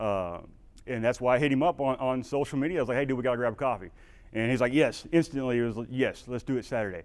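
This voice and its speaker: A man with a Texan accent and ordinary pitch variation, in a very clean recording with a silent background. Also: medium pitch for a man. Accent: Texan drawl. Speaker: veteran and humanitarian aid worker. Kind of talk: conference talk, casual. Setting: stage with audience.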